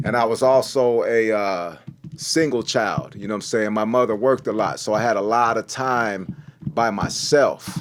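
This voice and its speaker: There is noticeable background noise as a man talks at a moderate pace. His pitch is medium, with ordinary variation. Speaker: rapper. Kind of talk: casual interview. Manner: halting.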